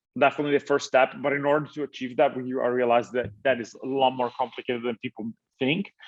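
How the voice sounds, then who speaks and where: A man with an Italian accent talking at a very fast pace, medium pitch and fairly even intonation, in a dry, close sound with no echo. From Italy. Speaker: tech startup founder. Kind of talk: interview. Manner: halting, many fillers and restarts.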